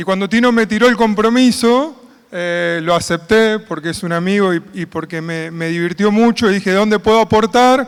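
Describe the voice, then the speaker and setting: A man talks at a moderate pace in a high pitch. His pitch variation is ordinary. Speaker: conference moderator, agronomist. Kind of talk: conference opening remarks.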